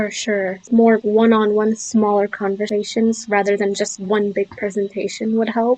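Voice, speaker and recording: Against noticeable background noise, a woman with a fairly high pitch speaks in a monotone, flat intonation with hardly any pauses. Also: moderate pace. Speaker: podcast host. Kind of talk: podcast conversation.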